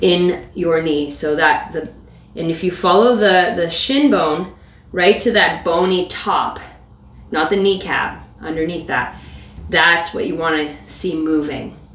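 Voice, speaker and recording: The delivery is fairly slow. Audible room echo and noticeable background noise fill the recording. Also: woman. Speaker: yoga and mobility instructor. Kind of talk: guided exercise class. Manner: instructive, rhythmic cueing.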